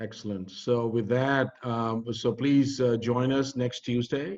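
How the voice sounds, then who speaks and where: A man speaks with a Pakistani accent. His tone is dark and mellow. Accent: South Asian (Pakistani) English. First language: Urdu or Punjabi. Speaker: community organizer. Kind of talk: closing remarks of online panel. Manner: halting.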